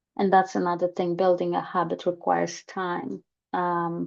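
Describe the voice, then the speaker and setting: Speaking very slowly, a woman with a fairly low pitch has a Polish accent. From Poland. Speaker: holistic therapist. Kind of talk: personal talk to camera. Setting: screen-share recording. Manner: hesitant, many fillers.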